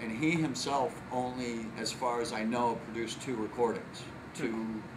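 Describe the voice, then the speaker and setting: Noticeable background noise sits behind a man with an American accent. He talks at a moderate pace in a medium pitch with fairly even intonation. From Illinois. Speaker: chef. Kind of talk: interview. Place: cafe.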